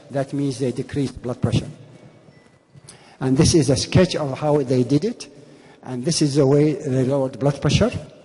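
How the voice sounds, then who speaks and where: A man speaks at a moderate pace and a fairly high pitch, with ordinary pitch variation. Long, frequent pauses break up his speech amid noticeable background noise. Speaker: physician. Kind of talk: conference lecture.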